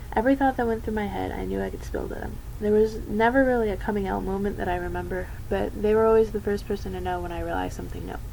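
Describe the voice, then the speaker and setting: A woman speaks at a very fast pace. Noticeable background noise runs under her voice. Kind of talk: personal coming-out talk to camera.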